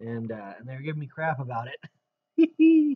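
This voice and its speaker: A somewhat breathy man speaks with fairly even intonation in a dry sound with no echo. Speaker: Bible teacher / YouTuber; Bible teacher, YouTuber. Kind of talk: casual Bible study vlog. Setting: wearing a face mask at first. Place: home room. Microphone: webcam.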